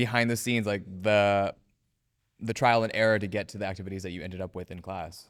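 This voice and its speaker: A man with an unremarkable speaking voice talks at a fairly quick pace and with ordinary pitch variation, recorded very cleanly against a silent background. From US West Coast. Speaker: acting student. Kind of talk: casual chat.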